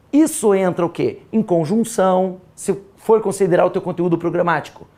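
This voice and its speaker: The voice has an animated tone and moves at a fairly slow pace. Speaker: exam prep teacher. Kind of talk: lecture.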